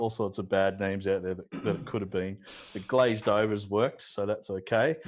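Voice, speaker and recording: The background is quiet while a man talks with an Australian accent. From Australia (Newcastle, NSW). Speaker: watercolor painter. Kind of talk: casual chat during live painting demo. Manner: slow.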